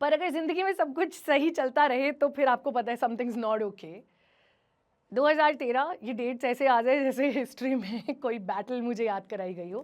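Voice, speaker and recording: This woman's voice is high in pitch, and her intonation is lively. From Himachal Pradesh, India. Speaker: radio jockey. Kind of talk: motivational stage talk.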